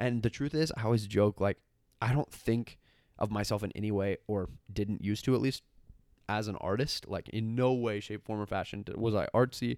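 An unremarkable speaking voice, this man talks at a moderate pace with a fairly low pitch, an American accent and fairly even intonation, on a very clean recording with a silent background. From Washington state. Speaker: graphic designer. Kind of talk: casual chat. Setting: in person at home.

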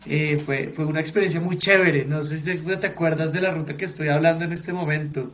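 Amid audible room echo, a man speaks at a fairly high pitch in a monotone, flat intonation with hardly any pauses. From Colombia. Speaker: podcast host. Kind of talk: casual chat.

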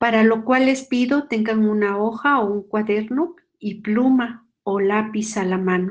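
A woman with a Mexican accent talks with hardly any pauses, a fairly high pitch and ordinary pitch variation. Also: fairly slow pace. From Mexico. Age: 50s. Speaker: nun giving a faith formation talk. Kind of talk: spiritual formation talk.

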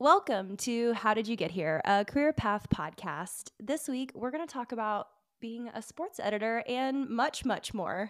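With a Southern US accent, a woman speaks in a fairly high voice with lively intonation and hardly any pauses. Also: fairly slow pace. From Alabama. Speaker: podcast host. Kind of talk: casual interview.

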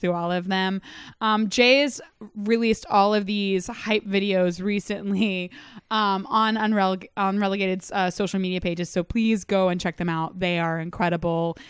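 An ordinary speaking voice from a woman, medium in pitch with ordinary pitch variation, at a moderate pace, in a very clean recording with a silent background. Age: 20s. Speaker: soccer podcast host. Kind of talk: casual chat. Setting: home living room studio.

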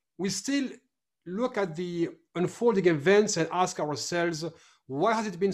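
A man with a high pitch talks at a moderate pace with lively intonation on a very clean recording with a silent background. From France. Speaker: podcast host. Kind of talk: interview. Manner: halting, fillers.

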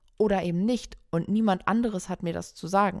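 Over a silent background in a very clean recording, a woman uses an ordinary speaking voice at a medium pitch and a moderate pace. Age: 30s. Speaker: photographer and podcast co-host. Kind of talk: solo podcast monologue, personal story. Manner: casual with frequent fillers.

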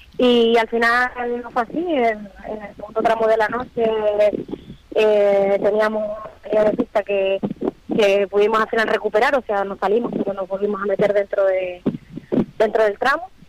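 A woman at a fairly high pitch and moderate pace, with fairly even intonation, long, frequent pauses, and noticeable background noise. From Fuerteventura, Canary Islands. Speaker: rally driver. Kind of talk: phone interview.

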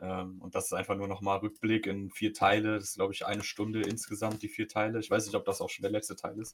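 This man talks at a very fast pace with hardly any pauses, his fairly low voice somewhat breathy. His intonation stays monotone and flat. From Germany, Polish parents. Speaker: podcast co-host and streamer. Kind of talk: casual chat.

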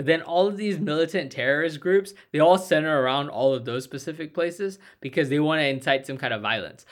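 A plain, everyday voice from a man at a fairly high pitch, fairly quick with hardly any pauses and ordinary pitch variation, on a very clean recording with a silent background. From Indian-American. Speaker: political podcast co-host. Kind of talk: casual political discussion.

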